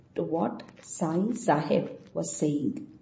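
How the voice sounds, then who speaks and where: A woman talks fairly slowly while noticeable background noise runs underneath. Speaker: audio narrator. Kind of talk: reading aloud a 1912 diary entry, devotional narration. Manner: measured, reverent, steady; formal, clear, even pace.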